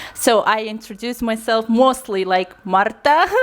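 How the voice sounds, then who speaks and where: Speaking at a fairly slow pace amid noticeable background noise, a woman uses a fairly high pitch with ordinary pitch variation. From eastern Kazakhstan. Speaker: student and English teacher, guest. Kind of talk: casual interview. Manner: hesitant, frequent fillers.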